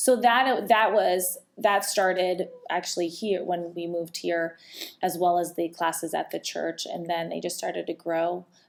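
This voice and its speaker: Speaking at a moderate pace with a slight Rhode Island accent, a woman has a fairly low pitch and fairly even intonation. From Rhode Island, US. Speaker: fitness coach and podcast co-host. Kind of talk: casual podcast chat.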